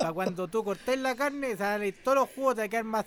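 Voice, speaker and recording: With a Chilean accent, a man talks at a very fast pace in a high pitch, with an animated tone and ordinary pitch variation. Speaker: podcast host. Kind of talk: casual chat.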